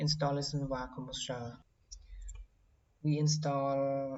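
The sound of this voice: Audible room echo surrounds speech delivered at a slow pace.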